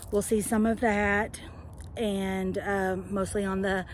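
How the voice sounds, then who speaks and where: Medium-pitched woman's voice with a Southern US accent, monotone and flat in intonation. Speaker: home gardener. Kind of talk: casual talk to camera. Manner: hesitant, conversational.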